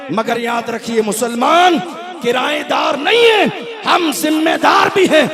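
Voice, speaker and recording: A man's voice, showing ordinary pitch variation, comes through noticeable background noise. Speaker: Islamic preacher. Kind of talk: religious sermon. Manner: fiery, forceful.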